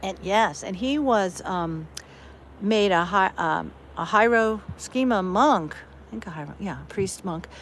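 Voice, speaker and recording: In an American accent, the voice moves at a fairly slow pace with lively intonation. Its loudness swings widely. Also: woman, medium pitch for a woman. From US West Coast, Berkeley, California. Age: 60s. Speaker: online streamer. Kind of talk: casual chat. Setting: outdoors.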